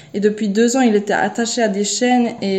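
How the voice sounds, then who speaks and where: Over noticeable background noise, a woman speaks at a moderate pace with a fairly high pitch and monotone, flat intonation. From Switzerland. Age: 20s. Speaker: au pair on a mission. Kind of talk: personal testimony. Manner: halting, many repetitions and hesitations.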